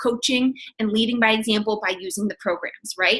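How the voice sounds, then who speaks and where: A woman speaks in an animated tone. Her voice sounds bright and sharp. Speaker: fitness coach. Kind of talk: sales pitch. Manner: fast.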